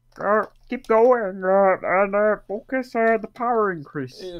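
A croaky, put-on character voice, female-sounding and fairly high-pitched, at a very slow pace. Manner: encouraging.

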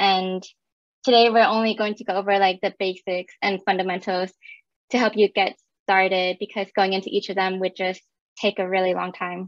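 A woman's monotone, flat delivery at a moderate pace, dry with no echo, over a quiet background. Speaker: technical account manager and presenter. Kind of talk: technical presentation with slides. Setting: video call with screen share. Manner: casual, conversational, filler words. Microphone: webcam.

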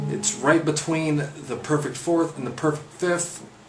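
A man's voice over loud background noise. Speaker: guitar teacher. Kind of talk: guitar lesson talk to camera. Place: home room. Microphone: webcam.

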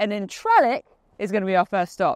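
Recorded against a quiet background, a woman speaks in a dry sound with no echo. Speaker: presenter. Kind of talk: casual vlog chat. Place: open country.

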